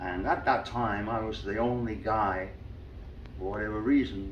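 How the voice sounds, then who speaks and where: A fairly low-pitched man at a moderate pace, with audible room echo. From Liverpool, England. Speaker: professional singer. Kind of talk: interview.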